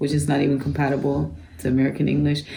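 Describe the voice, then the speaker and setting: Noticeable background noise and audible room echo surround the recording. A woman speaks over them at a fairly quick pace. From Germany. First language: German. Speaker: author. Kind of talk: book club interview. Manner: casual, conversational.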